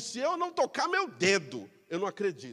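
With a Brazilian accent, a man speaks in an animated tone at a fairly slow pace. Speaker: pastor. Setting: church. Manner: animated, rhetorical, exhorting the congregation with direct questions; impassioned, urgent, emphatic and conversational.

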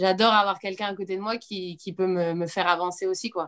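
At a fairly quick pace, a woman speaks in an unremarkable speaking voice with a medium pitch and fairly even intonation. The recording is very clean, the background silent. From Corsica. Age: 30s. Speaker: schoolteacher and CrossFit athlete. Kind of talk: casual chat.

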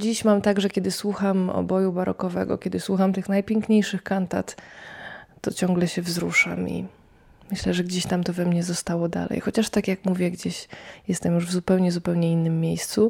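A woman's somewhat breathy voice at medium pitch, monotone with flat intonation, at a moderate pace. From Poland, near Lublin (Poniatowa). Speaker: radio reporter and early music cellist. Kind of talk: personal storytelling.

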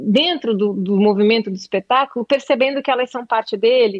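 A woman's voice sits at a high pitch and shows ordinary pitch variation. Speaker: actress and playwright. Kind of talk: interview. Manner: halting, many repetitions.

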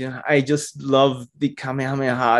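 Speaking at a fairly slow pace, the man uses an ordinary speaking voice at medium pitch. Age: 40s. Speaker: Lego photographer. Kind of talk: interview.

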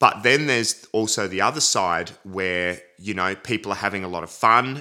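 In a very clean recording with a silent background, a man with an Australian accent speaks at a fairly low pitch with a bright, sharp tone and ordinary pitch variation. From Adelaide, South Australia. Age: 30s. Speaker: drummer. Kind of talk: casual interview.

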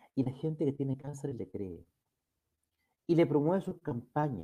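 With lively intonation and a moderate pace, a man talks in a fairly high, somewhat breathy voice that has a dark, mellow tone. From Chile. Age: old. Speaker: YouTube talk show host, lawyer. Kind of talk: monologue to live chat audience. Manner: formal.

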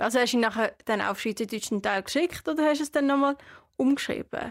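Very fast, lively speech with a dry, close sound, no echo, and a very clean recording with a silent background. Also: woman. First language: not Swiss German; learned it after moving (speaking German). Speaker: podcast co-host. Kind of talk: casual chat.

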